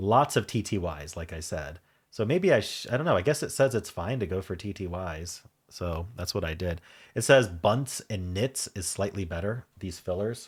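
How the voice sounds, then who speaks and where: A man with an American accent speaks in a very deep, low pitch with lively intonation at a moderate pace, somewhat breathy. It is a very clean recording with a silent background. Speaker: puzzle game YouTuber. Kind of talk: casual solo commentary while solving a puzzle. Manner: thinking aloud, hesitant with fillers.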